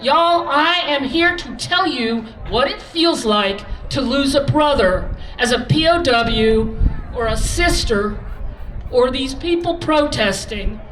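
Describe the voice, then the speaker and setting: In a room with audible echo and noticeable background noise, a woman with a high voice speaks very slowly, her pitch swinging very widely. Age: 60s. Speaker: former cafe owner, rally speaker. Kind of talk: protest rally speech. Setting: outdoor rally stage with crowd. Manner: animated.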